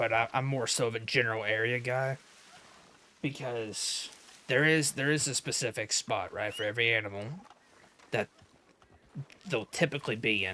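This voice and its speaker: A raspy, put-on character voice from a man, medium in pitch, at a moderate pace broken by long, frequent pauses. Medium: game stream. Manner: casual, rambling, self-deprecating.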